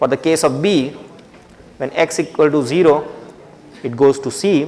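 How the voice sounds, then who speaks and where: A man's fairly high voice with ordinary pitch variation over noticeable background noise. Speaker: university lecturer. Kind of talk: lecture.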